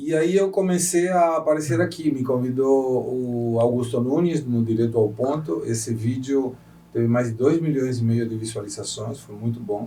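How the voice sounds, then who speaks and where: The man has a dark, mellow tone at medium pitch, somewhat breathy, with ordinary pitch variation. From Argentina. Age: 60s. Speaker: economist and political commentator. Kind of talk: interview.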